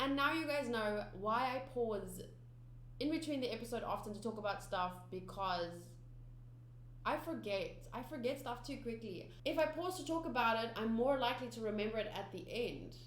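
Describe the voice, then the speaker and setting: In a South African accent, a woman speaks at a moderate pace with audible room echo. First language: Afrikaans. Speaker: anime reaction youtuber. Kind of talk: casual vlog chat to viewers. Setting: home studio. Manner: halting, many fillers and restarts.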